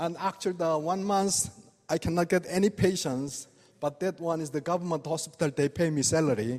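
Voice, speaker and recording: With a non-native accent, a man speaks at a high pitch. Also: ordinary pitch variation, moderate pace. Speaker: acupuncture doctor. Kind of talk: lecture. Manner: halting.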